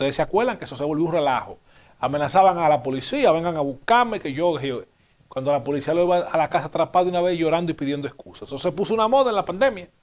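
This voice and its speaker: A man with a high voice talks at a very fast pace with lively intonation. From Dominican Republic. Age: 30s. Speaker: TV news commentary host. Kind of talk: TV commentary monologue. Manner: animated. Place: studio. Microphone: lapel.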